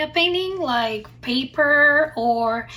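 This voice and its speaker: A woman with a non-native accent speaks in a raised, projected voice. Her pitch is high, with ordinary variation. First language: not English. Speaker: craft and art youtuber. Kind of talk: tutorial. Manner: halting, many fillers.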